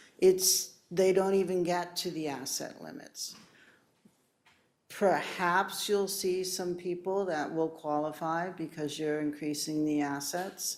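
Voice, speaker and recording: At a very slow pace, a woman speaks with fairly even intonation and a fairly low pitch, and audible room echo surrounds her voice. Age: 60s. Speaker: municipal property assessor. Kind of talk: public meeting presentation. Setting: city council chambers. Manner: conversational, with false starts.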